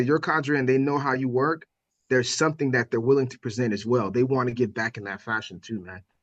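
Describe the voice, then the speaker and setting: American-accented male speech with ordinary pitch variation. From Miami, Florida. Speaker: firefighter and instructor. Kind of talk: podcast interview. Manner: animated, high energy; loud when teaching.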